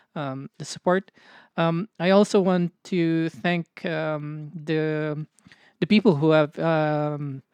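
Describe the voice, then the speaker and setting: Against a quiet background, a woman speaks very slowly in a very deep, low voice with fairly even intonation, the sound dry and close with no echo. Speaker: podcast co-host. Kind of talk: casual chat. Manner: halting, many fillers.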